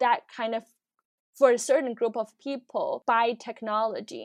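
A woman with a Chinese accent and a fairly high pitch speaks at a moderate pace with fairly even intonation, the sound dry and close with no echo against a quiet background. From China, Shanghai. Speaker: product designer. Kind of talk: casual interview. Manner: hesitant, many fillers.

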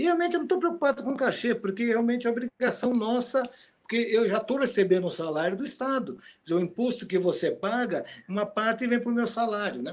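Talking at a very fast pace, a man uses an extremely high pitch and lively intonation. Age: 60s. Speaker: retired guitar professor and composer. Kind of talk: casual interview.

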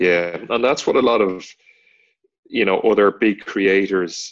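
Over a quiet background, a man speaks with an Irish accent. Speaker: podcast co-host, online content creator. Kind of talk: casual chat.

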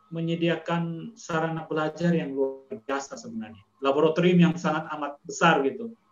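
Over background music, the speaker goes at a fairly slow pace with ordinary pitch variation. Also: man. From Indonesia, Kupang (East Nusa Tenggara). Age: 40s. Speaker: school principal and educator. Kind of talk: casual chat. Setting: video call.

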